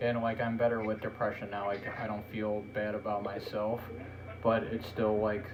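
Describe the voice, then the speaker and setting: A man with a fairly low pitch speaks at a moderate pace amid noticeable background noise and audible room echo. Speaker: podcast host. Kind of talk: casual chat. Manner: monotone.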